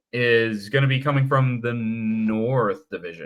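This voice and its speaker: A man with an American accent. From Michigan. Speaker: hockey podcast co-host. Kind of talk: casual chat. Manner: animated.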